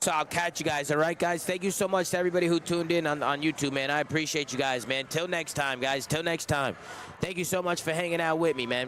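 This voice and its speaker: The speech comes at a very fast pace with very even loudness and fairly even intonation. Background noise is noticeable. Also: man, fairly high pitch for a man. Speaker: streamer. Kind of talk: casual chat.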